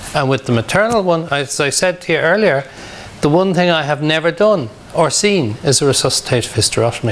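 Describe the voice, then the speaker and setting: In a Dublin accent, a man talks at a fairly quick pace with a fairly high pitch. His loudness is very even, with noticeable background noise. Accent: Dublin Irish. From Ireland, Dublin (Ballyfermot). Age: 60s. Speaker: emergency medicine doctor. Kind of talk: lecture; Q&A session.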